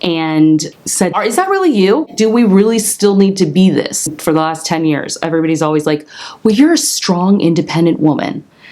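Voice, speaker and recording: There is noticeable background noise. A woman with a fairly low pitch talks at a moderate pace with hardly any pauses. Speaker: lifestyle and interior design vlogger. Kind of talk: personal vlog monologue. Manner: casual, filler-heavy.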